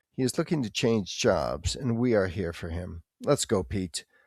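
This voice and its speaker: A man with a fairly low pitch, in a very clean recording with a silent background and a dry, close sound with no echo. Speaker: podcast host and English teacher. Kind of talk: scripted educational podcast. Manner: slow; clear, deliberate.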